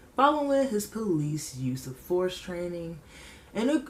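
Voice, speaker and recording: A woman's fairly low voice with very wide pitch swings, at a moderate pace, against noticeable background noise. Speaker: podcast host. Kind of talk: casual commentary. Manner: animated.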